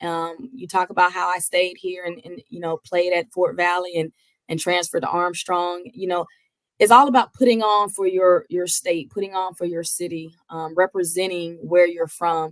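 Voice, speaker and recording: Speaking with a slight Georgia accent, a woman with a fairly low pitch makes big swings in loudness. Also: moderate pace, dry, close sound with no echo. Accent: slight Georgia twang. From Georgia, US South. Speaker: college basketball head coach. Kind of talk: interview.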